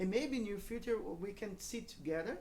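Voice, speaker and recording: A woman with a Brazilian accent at a moderate pace, ordinary pitch variation, audible room echo and noticeable background noise. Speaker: pastor. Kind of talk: church talk with interpreter. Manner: halting.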